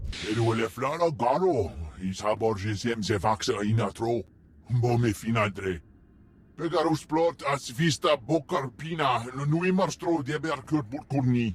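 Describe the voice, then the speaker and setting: At a moderate pace and medium pitch, a man puts on a character voice. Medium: video game.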